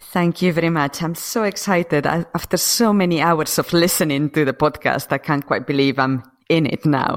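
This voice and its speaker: A woman with a Spanish accent talks at a moderate pace in a very deep, low pitch, with very even loudness and ordinary pitch variation. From Spain, Asturias. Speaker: acupuncturist, former computer scientist. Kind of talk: casual interview chat.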